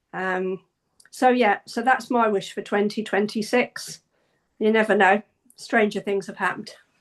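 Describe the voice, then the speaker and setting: Against a quiet background, a woman speaks in an ordinary speaking voice at a moderate pace, with a fairly high pitch and fairly even intonation. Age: 60s. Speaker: singer. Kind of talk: casual chat.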